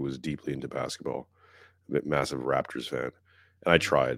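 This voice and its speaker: Here a man with a very deep, low pitch and vocal fry speaks at a moderate pace with a Canadian accent. The recording is very clean, with a silent background. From Quebec, Montreal. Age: 40s. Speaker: podcast host. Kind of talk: casual chat.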